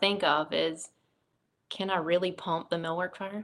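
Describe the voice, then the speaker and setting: A woman with an American accent, medium in pitch and bright, sharp in tone, at a fairly slow pace with fairly even intonation, on a very clean recording with a silent background. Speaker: fire battalion chief. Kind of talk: interview testimony.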